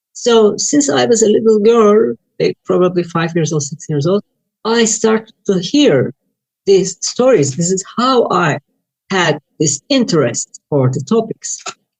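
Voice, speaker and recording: Fairly slow and somewhat breathy, a woman with a Turkish accent speaks at medium pitch with very wide pitch swings. The sound is dry and close, with no echo. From Turkey. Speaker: UFO researcher and author. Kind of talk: interview.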